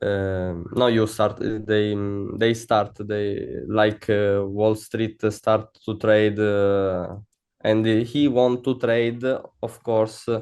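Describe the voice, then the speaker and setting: A man with an Italian accent, fairly low-pitched, monotone and flat in intonation, at a very slow pace. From Italy. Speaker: funded trader. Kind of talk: interview. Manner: halting, many fillers.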